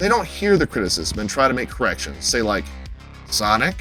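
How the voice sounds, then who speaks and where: A man is speaking. Music plays in the background. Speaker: film reviewer / YouTuber. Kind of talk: casual talk to camera, opinion commentary. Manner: emphatic, heated, profane.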